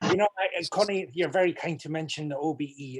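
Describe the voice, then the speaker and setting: A man with a Scottish accent and ordinary pitch variation. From Scotland. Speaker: community organization president. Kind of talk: welcome remarks. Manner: halting.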